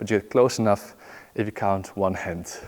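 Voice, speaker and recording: A fairly quick pace from a man. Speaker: juggling teacher. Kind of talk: tutorial. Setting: filming himself while practising. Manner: counting aloud rhythmically.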